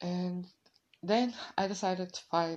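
At a very slow pace, a woman speaks with fairly low pitch, little pitch movement, and vocal fry.

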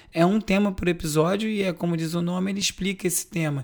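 A man's high voice at a fairly quick pace. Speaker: podcast host. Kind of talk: news roundup monologue.

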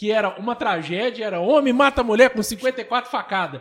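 A man speaks here. His pitch is extremely high. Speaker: podcast host. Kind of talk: casual chat.

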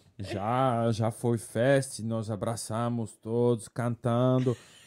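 A man speaks with a French accent in a dark, mellow tone. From France. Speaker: bartender. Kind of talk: interview. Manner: halting.

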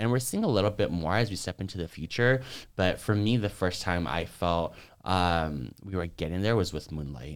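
Speech moves at a moderate pace. It carries an American accent and lively intonation. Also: man, very deep, low pitch for a man, very clean recording, silent background. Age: 20s. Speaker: social work student and dancer. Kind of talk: interview.

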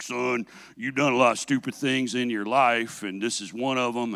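A man's put-on character voice at a medium pitch. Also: moderate pace. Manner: stern, disapproving.

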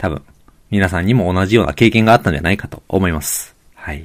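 A man with an unremarkable speaking voice has a fairly low pitch and ordinary pitch variation, captured in a very clean recording with a silent background. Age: middle-aged. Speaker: podcast host, physical therapist and amateur road cyclist. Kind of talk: solo podcast monologue. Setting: home room. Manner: polite, many filler words.

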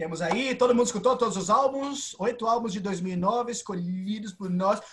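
A high-pitched man at a moderate pace. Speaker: podcast host. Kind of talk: casual chat.

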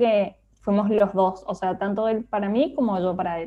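A woman's medium-pitched voice. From Argentina, Mendoza. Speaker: illustrator and designer. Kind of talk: casual interview chat.

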